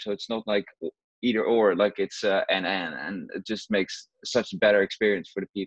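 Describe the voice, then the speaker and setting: A man speaks with a Dutch accent against a quiet background. The sound is dry, with no echo. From Netherlands (Rotterdam). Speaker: juggler. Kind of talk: interview. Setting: video call. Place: home room. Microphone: earbuds.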